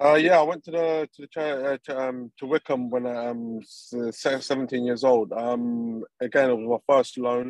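This man has a medium pitch and speaks with a London accent. His pace is fairly slow. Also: hardly any pauses, big swings in loudness. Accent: English (London area). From England (from age six or seven, born in Colombia). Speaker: professional footballer. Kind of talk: interview. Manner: hesitant, many ums.

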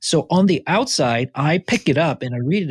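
A man speaks in a somewhat breathy voice at a moderate pace, the sound dry and close with no echo against a quiet background. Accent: Korean. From South Korea, moved to Vancouver area at fourteen. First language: Korean. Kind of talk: interview conversation.

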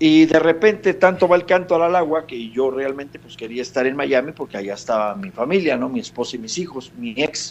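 With a plain, everyday voice, a man talks fairly quickly in a fairly high pitch. His loudness swings widely. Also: lively intonation, hardly any pauses. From Mexico, Monterrey and Veracruz. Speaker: singer-songwriter. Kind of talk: radio interview.

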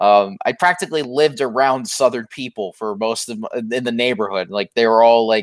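On a very clean recording with a silent background and a dry, close sound with no echo, a man with an American accent uses a normal speaking voice at a medium pitch, speaking at a fairly quick pace with ordinary pitch variation and hardly any pauses. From Florida. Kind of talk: casual chat.

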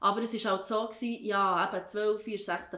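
A woman with a Swiss accent speaks at medium pitch. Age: 30s. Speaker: teacher. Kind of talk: casual chat.

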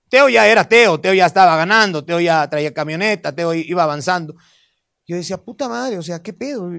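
The speech moves at a moderate pace with very wide pitch swings. The recording is very clean, with a silent background. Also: man. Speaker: comedian. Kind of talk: casual chat.

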